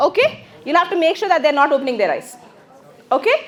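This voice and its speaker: The speaker has an Indian accent and very wide pitch swings, with noticeable background noise behind. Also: woman. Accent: Indian English, Telugu. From South India, Telugu-speaking. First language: Telugu. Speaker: English teacher. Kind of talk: classroom lecture. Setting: classroom with microphone. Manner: fast.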